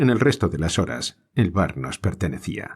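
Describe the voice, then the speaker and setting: A man with a Spanish accent, very deep, low pitch, vocal fry, very wide pitch swings and a moderate pace. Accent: Spain Spanish. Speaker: audiobook narrator. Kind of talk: audiobook reading of a short story.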